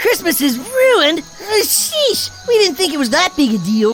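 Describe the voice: A cartoonish character voice with a high pitch and very wide pitch swings moves at a moderate pace over clear background noise.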